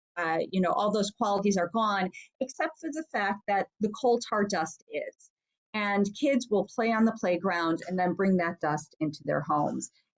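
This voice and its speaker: Here a woman with a plain, everyday voice speaks at a medium pitch and moderate pace with lively intonation. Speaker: state senator. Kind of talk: talk with Q&A.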